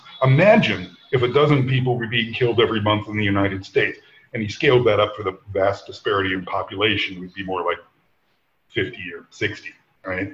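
With a fairly quick pace, a man speaks in a medium pitch and a somewhat breathy voice, using ordinary pitch variation and big swings in loudness. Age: 50s. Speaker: former tech executive. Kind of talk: casual chat.

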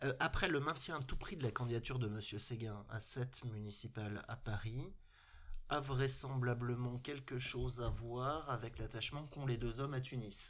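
A man speaks at a moderate pace with a medium pitch. He has an ordinary speaking voice. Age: 50s. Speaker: local elected official. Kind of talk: casual panel discussion.

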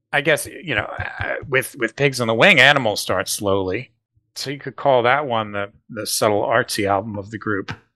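Bright and sharp in tone, a man's voice sits at a medium pitch. He talks at a moderate pace with ordinary pitch variation. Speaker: podcast co-host. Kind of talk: casual chat.

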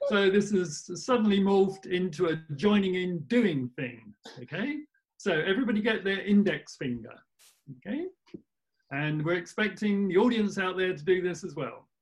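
A man speaks at a high pitch and a moderate pace. His intonation is lively. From England, near Oxford. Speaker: participant. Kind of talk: webinar discussion. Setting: video call.

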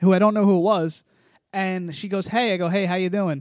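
Loud, very fast speech, dry and close with no echo, over a quiet background. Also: man. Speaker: podcast co-host. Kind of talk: casual chat.

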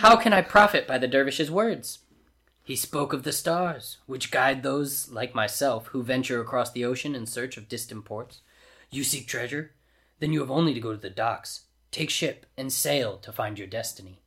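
The speaker uses a gruff, put-on character voice. The pace is moderate. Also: man, medium pitch for a man. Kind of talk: comic overacting. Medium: read story. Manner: jovial, poetic, booming laughter.

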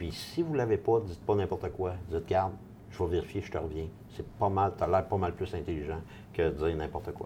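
Somewhat breathy and dark, mellow in tone, a man's very deep, low voice moves at a fairly quick pace with ordinary pitch variation. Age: 50s. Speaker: real estate investor. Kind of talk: casual interview.

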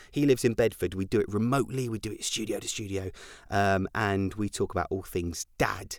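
Someone with an American accent talks at a fairly quick pace in an ordinary speaking voice. The recording is very clean with a silent background. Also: man, fairly low pitch for a man, ordinary pitch variation. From Scotland, with childhood in US and Germany. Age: 30s. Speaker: podcast host. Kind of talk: casual monologue.

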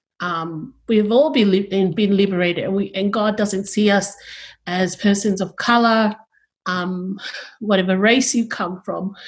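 In a very clean recording with a silent background, a woman speaks somewhat breathily at a fairly slow pace. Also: medium pitch for a woman, fairly even intonation. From Sydney, western suburbs (Tongan-born, arrived age 9). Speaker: university chaplain and deacon. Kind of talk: panel conversation.

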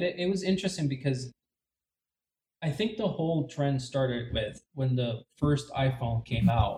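A somewhat breathy man's voice with a dark, mellow tone, fairly high pitch, ordinary pitch variation and a moderate pace. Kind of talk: casual chat. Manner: halting.

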